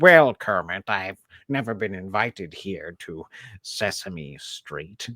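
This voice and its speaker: A man does a put-on character voice at a fairly slow pace. His pitch is fairly low, and the recording is very clean with a silent background. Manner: comic, puppet-like.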